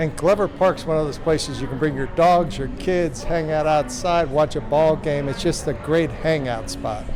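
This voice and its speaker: With audible room echo and noticeable background noise, a man with a fairly high voice speaks at a moderate pace, with fairly even intonation and hardly any pauses. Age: 60s. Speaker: podcast host. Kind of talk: on-location interview.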